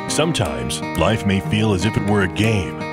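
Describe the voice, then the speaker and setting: A man at a fairly slow pace over loud background music, in a dry sound with no echo. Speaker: radio personality doing voiceover. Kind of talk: movie trailer narration. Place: studio.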